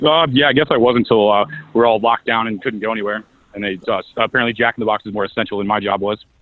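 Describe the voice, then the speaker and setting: This man speaks very fast in a Missouri accent. His pitch is medium, and his intonation is fairly even. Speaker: political candidate. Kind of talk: casual chat.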